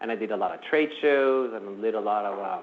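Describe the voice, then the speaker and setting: A man with a non-native accent, at a moderate pace and with fairly even intonation. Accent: foreign. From New Jersey, US (moved from abroad in middle school). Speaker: IT professional and presenter. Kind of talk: workplace lunch presentation. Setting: room with live audience. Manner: casual, with many fillers.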